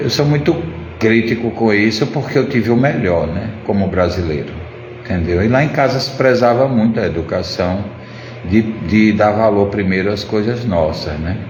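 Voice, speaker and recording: A man talks with ordinary pitch variation, with noticeable background noise and audible echo in the room. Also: fairly low pitch for a man, moderate pace. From Pernambuco, Brazil. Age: 60s. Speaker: ceramic artist. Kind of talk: casual live stream chat. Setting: live stream.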